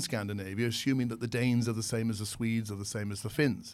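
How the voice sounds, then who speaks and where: At a very fast pace, a man of medium pitch talks with a British accent. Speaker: consultant, former airline staff. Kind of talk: interview, professional conversation.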